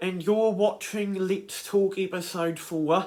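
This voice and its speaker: Speaking fairly slowly with a New Zealand accent, a man holds a high pitch in a monotone, flat intonation. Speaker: YouTuber, creator of animated characters. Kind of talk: casual talk to camera. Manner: hesitant, many fillers.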